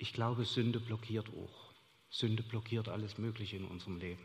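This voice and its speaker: A man's somewhat breathy, medium-pitched voice at a moderate pace, with fairly even intonation. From Saxony, Chemnitz. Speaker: church member sharing experiences. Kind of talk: onstage interview testimony. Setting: church service with congregation.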